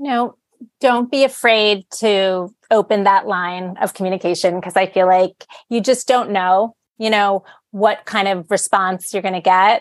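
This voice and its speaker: In an ordinary speaking voice, a woman talks fairly slowly at a medium pitch, recorded dry and close with no echo over a quiet background. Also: fairly even intonation. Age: 40s. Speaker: adult content creator. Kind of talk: casual chat.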